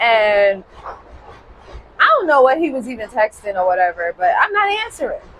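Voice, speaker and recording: A woman's fairly high voice at a fairly slow pace. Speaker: podcast host. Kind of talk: casual storytelling monologue. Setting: outdoors on a balcony. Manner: animated.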